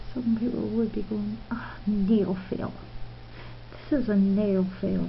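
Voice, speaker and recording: Very slowly, a woman speaks amid noticeable background noise and audible room echo. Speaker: nail art youtuber. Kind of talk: tutorial. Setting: at home. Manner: casual, chatty.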